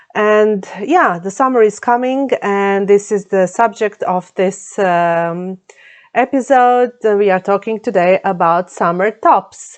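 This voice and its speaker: Over a quiet background, a woman speaks at a very slow pace, her medium pitch showing ordinary variation. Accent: Croatian. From Croatia. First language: Croatian. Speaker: knitting vlogger. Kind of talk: casual vlog talk. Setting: home, under the roof. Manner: halting, many fillers.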